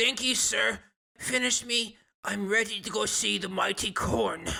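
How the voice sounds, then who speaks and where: A man's raspy, high put-on character voice at a moderate pace. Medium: actual play. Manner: pleading.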